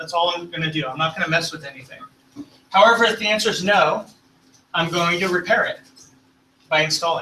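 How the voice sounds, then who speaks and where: A man's high, raised, projected voice at a very fast pace, with ordinary pitch variation. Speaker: tech presenter. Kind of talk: technical presentation.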